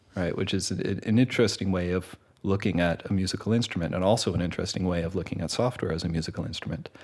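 Through noticeable background noise, a man with a very deep, low voice talks at a very fast pace with hardly any pauses. His pitch varies in an ordinary way. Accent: Canadian. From Canada. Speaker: composer and music teacher. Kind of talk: interview. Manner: hesitant, many fillers.

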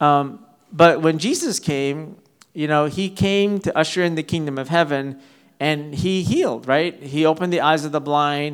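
A man's voice sits fairly high, with intonation that stays fairly even. He keeps a moderate pace. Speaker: preacher. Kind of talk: sermon. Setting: church. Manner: halting, filler-heavy.

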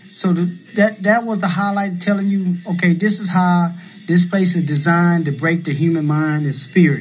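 A man's high voice, fairly even in intonation, at a moderate pace amid noticeable background noise. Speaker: former prisoner and advocate. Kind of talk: oral history testimony. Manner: halting.

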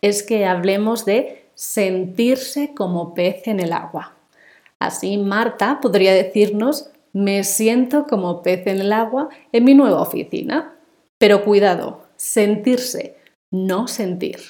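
A woman with a Spanish accent and medium pitch speaks very slowly, her intonation lively. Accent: Peninsular Spanish. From Spain. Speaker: Spanish teacher. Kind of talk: language lesson. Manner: slow, clear.

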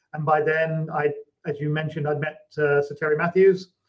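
A speaker with a British accent talks at a moderate pace in a flat, monotone delivery. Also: man. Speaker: technology company CEO. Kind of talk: interview.

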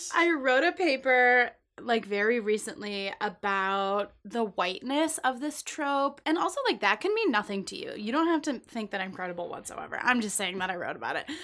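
In a very clean recording with a silent background, a woman speaks with an animated, bright, sharp tone at a high pitch, swinging very widely in pitch at a moderate pace with hardly any pauses. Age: 20s. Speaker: podcast co-host. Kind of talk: casual chat.

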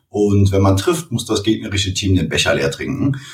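This man's voice sits fairly low and is somewhat breathy. His intonation is lively. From Cologne, Germany. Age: 30s. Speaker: e-commerce entrepreneur. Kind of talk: interview.

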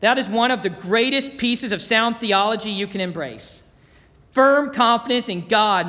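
Plain reading aloud comes with ordinary pitch variation.

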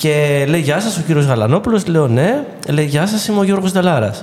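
A man at a fairly high pitch and moderate pace, with noticeable background noise. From Greece, Ilia (western Peloponnese). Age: 40s. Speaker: actor and theatre director. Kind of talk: casual interview. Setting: studio.

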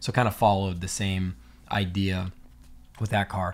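With a plain, everyday voice, a man talks at a moderate pace in a fairly low pitch. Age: 30s. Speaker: laser engraving business owner, former pro BMX rider. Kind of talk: casual interview chat.

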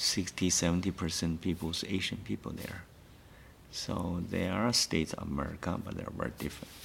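With a Chinese accent, a man speaks at a moderate pace, his very deep, low voice showing ordinary pitch variation. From China. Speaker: artist. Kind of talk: interview.

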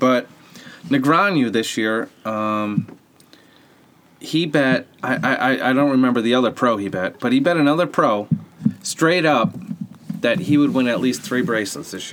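A man speaks at medium pitch with a Boston accent and lively intonation. His pace is moderate, broken by long, frequent pauses. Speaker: sports podcast co-host. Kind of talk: casual chat.

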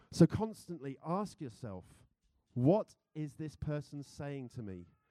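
At a very slow pace, a man with a British accent speaks in a dark, mellow tone at a fairly high pitch. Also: long, frequent pauses, big swings in loudness. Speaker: church speaker. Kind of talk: sermon. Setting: church with congregation. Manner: informal, humorous.

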